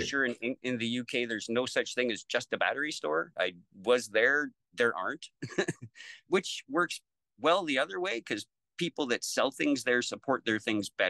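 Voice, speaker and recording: A man with a Canadian accent speaks at a moderate pace with a bright, sharp tone and lively intonation, the sound dry with no echo and the background quiet. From Lethbridge, Alberta, Canada. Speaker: battery technician. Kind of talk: interview answer. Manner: casual, conversational. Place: home room. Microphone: video call.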